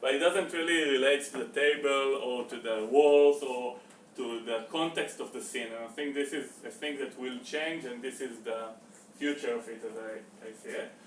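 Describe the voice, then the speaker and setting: Noticeable background noise and audible room echo surround a man talking at a moderate pace in a fairly high pitch. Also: ordinary pitch variation. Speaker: meetup presenter. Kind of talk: presentation talk. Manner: halting, many fillers.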